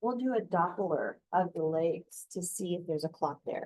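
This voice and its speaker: A woman's normal speaking voice, lively in intonation, at a moderate pace. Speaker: nursing instructor. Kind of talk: lecture.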